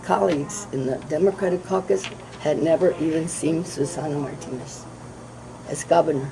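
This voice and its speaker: A woman speaks at a fairly low pitch. Background noise is noticeable. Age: 70s. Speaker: politician. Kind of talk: candidate forum interview.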